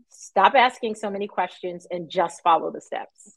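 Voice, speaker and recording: A woman with an American accent has an unremarkable speaking voice at medium pitch. She talks at a moderate pace with fairly even intonation. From New York. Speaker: math educator. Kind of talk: interview.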